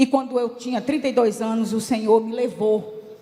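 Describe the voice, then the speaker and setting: A woman speaks at a fairly high pitch with fairly even intonation. Audible room echo and noticeable background noise surround her. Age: 60s. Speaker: church delegate, former education secretary. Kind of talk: assembly speech. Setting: church council plenary. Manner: impassioned.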